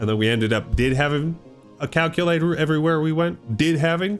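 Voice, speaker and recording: With an American accent, a man talks at a very fast pace in a fairly high pitch. His tone is animated, and music plays in the background. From US Pacific Northwest. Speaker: gaming youtuber. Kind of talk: rant. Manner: stammering.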